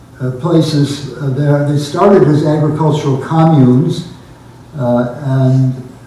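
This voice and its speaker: Against noticeable background noise and audible room echo, a man with a fairly high pitch talks at a fairly slow pace with fairly even intonation. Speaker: naturalist giving travel slide talk. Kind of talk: illustrated public talk. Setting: pavilion with audience. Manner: halting with many fillers.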